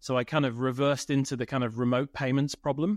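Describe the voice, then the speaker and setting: A man speaks with a British accent at a moderate pace, his intonation fairly even. The sound is dry and close with no echo, over a quiet background. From United Kingdom. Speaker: tech company CEO. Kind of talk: interview.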